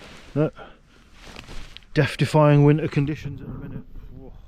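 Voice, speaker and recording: Over noticeable background noise, a man with a southern English accent and a fairly high pitch talks at a moderate pace. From southern England. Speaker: outdoor vlogger. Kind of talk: casual vlog narration. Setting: outdoors. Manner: animated.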